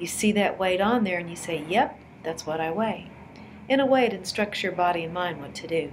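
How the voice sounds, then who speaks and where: At a fairly quick pace, a woman speaks with ordinary pitch variation and big swings in loudness, with light background noise behind her. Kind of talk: tutorial. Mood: warm, encouraging. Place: home room. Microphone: webcam.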